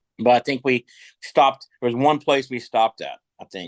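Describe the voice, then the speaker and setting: A man with an American accent, medium pitch and ordinary pitch variation at a moderate pace, in a dry, close sound with no echo and a quiet background. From Kentucky. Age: 60s. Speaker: rock musician. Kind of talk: casual chat. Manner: halting.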